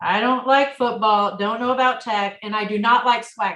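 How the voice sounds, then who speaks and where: A woman talks with an American accent and a bright, sharp tone. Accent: Midwestern (noticed by husband). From rural Illinois. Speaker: coach's wife. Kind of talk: casual interview chat.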